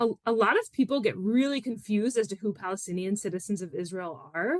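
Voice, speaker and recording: Talking at a fairly quick pace, a woman with an American accent uses lively intonation in a dry, close sound with no echo. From US Northeast, Philadelphia suburbs. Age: 30s. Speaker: educator and activist. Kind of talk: podcast interview. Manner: casual, many fillers.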